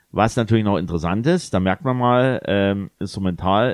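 A man talks in an ordinary speaking voice, fairly low in pitch with ordinary pitch variation. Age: 40s. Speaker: DJ and podcast co-host. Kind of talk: casual chat.

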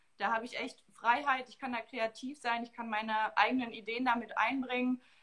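A woman with a fairly high pitch speaks in a monotone, flat intonation. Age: 20s. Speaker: marketing staff at a football club, dual master's student. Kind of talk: interview.

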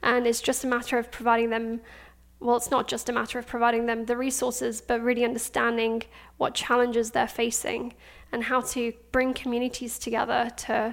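A woman speaks in a high pitch at a fairly quick pace. Her intonation is monotone and flat. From Afghanistan, then Pakistan, then London. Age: 20s. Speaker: startup founder. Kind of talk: interview.

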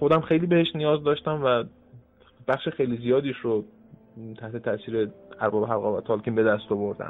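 A man with a medium-pitched voice talks at a fairly quick pace, with ordinary pitch variation and long, frequent pauses. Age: 20s. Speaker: translator and German teacher. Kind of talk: casual interview.

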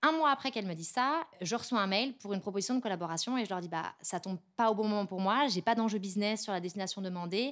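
A woman's medium-pitched voice at a very fast pace on a very clean recording with a silent background. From Paris. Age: 30s. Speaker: head of influence and PR. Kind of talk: interview.

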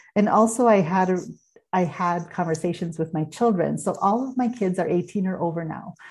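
A woman's somewhat breathy, medium-pitched voice at a moderate pace, with ordinary pitch variation over a quiet background. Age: 50s. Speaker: podcast host and human design coach. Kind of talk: solo podcast monologue.

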